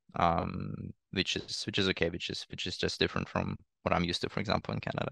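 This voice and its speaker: A man speaks at a fairly quick pace with a Russian accent. The sound is dry and close, with no echo. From eastern Ukraine. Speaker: refugee and student. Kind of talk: podcast interview. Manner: halting, many repetitions.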